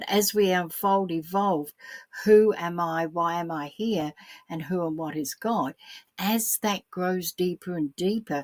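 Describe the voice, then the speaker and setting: The speaker has an Australian accent and a fairly slow pace. The sound is dry and close with no echo. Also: woman, fairly low pitch for a woman, ordinary pitch variation. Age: 70s. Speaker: spiritual teacher. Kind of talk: solo spiritual talk. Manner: repetitive, hesitant.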